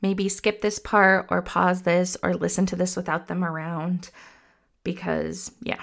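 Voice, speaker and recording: A woman speaking at a fairly slow pace on a very clean recording with a silent background. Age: 30s. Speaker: parenting podcast host and therapist. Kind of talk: solo podcast monologue. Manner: casual, conversational.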